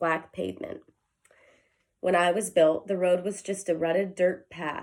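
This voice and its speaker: In a put-on character voice, a woman speaks at a moderate pace with a raspy, medium-pitched sound and fairly even intonation. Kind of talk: children's read-aloud. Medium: read story. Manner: slow, gentle.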